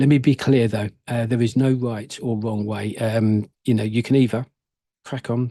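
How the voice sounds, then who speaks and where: In a dry, close sound with no echo and a quiet background, a man speaks at a moderate pace with a dark, mellow tone and monotone, flat intonation. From UK. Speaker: prepping YouTuber. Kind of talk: casual channel update to camera. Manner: halting, many fillers and restarts.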